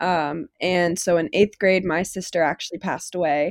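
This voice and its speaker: The speaker has an ordinary speaking voice with an American accent. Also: woman, very clean recording, silent background. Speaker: college student sharing mental health story. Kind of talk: personal testimony in casual interview.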